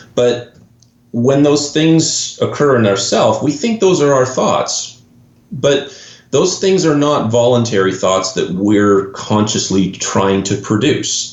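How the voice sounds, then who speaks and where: Speaking very slowly with a Canadian accent and very wide pitch swings, this voice comes through with audible room echo and noticeable background noise. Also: man, medium pitch for a man. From Canada. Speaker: golf mental performance coach. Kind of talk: podcast interview.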